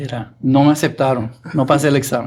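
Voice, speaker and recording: The man speaks with a Puerto Rican accent. His pitch is fairly high and his intonation monotone and flat. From Puerto Rico (Arecibo). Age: 60s. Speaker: music producer. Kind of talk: interview.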